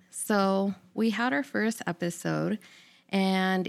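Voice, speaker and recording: The recording is very clean and the background silent as a woman talks at a medium pitch. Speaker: podcast host. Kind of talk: casual solo intro monologue.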